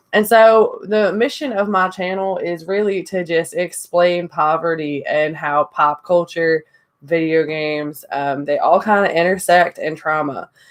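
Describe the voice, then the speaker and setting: A woman with a Southern US accent talks at a fairly slow pace with hardly any pauses, her fairly low pitch showing ordinary variation. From Indiana. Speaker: YouTuber. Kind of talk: casual vlog monologue.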